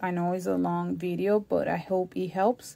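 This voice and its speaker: A woman speaks with a strong non-native accent. Her pace is fairly slow. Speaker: crafts YouTuber. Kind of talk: tutorial.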